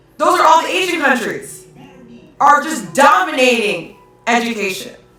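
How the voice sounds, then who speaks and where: A woman talks at a fairly slow pace in an animated tone. Background noise is noticeable. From Hawaii. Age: 30s. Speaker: live-stream commentator. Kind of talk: live-stream rant reading chat comments. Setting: live stream at home.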